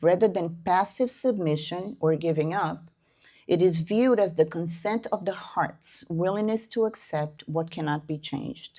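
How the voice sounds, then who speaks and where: A woman with a non-native accent speaks at a fairly low pitch in a dark, mellow tone. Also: ordinary pitch variation, moderate pace. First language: not English. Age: 60s. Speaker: spiritist lecturer. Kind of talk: lecture. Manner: halting.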